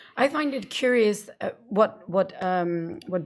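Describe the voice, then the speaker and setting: On a very clean recording with a silent background, a woman speaks with a Danish accent. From Denmark. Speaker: radio host. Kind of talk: casual chat.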